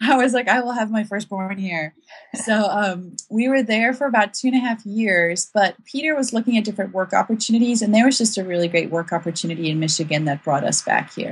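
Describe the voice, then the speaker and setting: Medium-pitched woman, fairly quick and lively in intonation, over noticeable background noise. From South Africa. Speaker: author and blogger. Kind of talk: casual interview chat.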